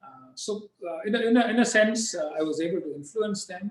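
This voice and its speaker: Speaking with a Tamil accent, a man keeps a moderate pace and ordinary pitch variation. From southern India, Tamil-speaking. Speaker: diplomat. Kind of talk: interview. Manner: halting, many fillers.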